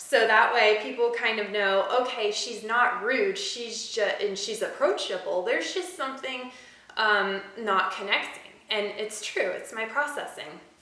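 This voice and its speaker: In a room with audible echo and noticeable background noise, a woman speaks at a fairly slow pace with a fairly high pitch and ordinary pitch variation. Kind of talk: personal vlog monologue. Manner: hesitant, many fillers.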